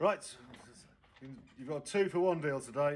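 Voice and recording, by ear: A man talks at a fairly quick pace. Room echo can be heard.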